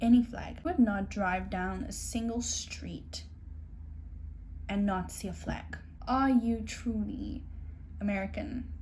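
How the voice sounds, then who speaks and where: A woman with a South African accent speaks very slowly. Her speech has long, frequent pauses. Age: 20s. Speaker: au pair. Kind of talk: casual talk to camera.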